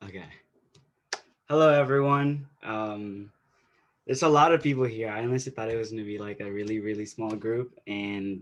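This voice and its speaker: A man talks at a moderate pace and medium pitch, with ordinary pitch variation. He leaves long, frequent pauses. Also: big swings in loudness. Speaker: invited speaker, activist. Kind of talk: webinar talk. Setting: video call webinar with interpreter. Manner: halting, many repetitions.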